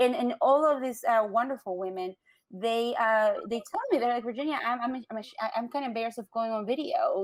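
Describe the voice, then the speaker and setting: Speaking at a fairly quick pace, a woman with a Latin American accent uses lively intonation. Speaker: business owner. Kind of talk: interview.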